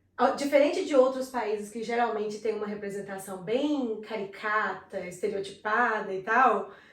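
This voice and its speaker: A woman with a fairly high pitch and ordinary pitch variation speaks with hardly any pauses and big swings in loudness. Audible room echo is present. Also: moderate pace. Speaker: videocast co-host. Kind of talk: casual chat.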